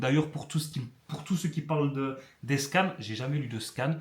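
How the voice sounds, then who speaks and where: A man with a fairly high pitch. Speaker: youtuber. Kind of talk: casual vlog. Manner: fast; halting.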